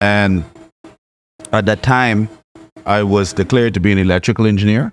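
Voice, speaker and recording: Fairly low in pitch, a man speaks with a Bahamian accent and fairly even intonation. The recording is very clean with a silent background, dry and close with no echo. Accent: Bahamian, kept after 30 years abroad. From Bahamas (Nassau area). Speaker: chemical engineer and scientist. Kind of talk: podcast interview, personal story. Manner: hesitant, repeats words.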